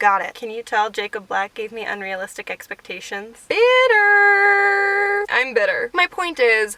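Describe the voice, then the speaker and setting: With very wide pitch swings, a woman speaks in a raised, projected voice over noticeable background noise. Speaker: booktuber. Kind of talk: video essay monologue. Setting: in a car. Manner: animated; fast.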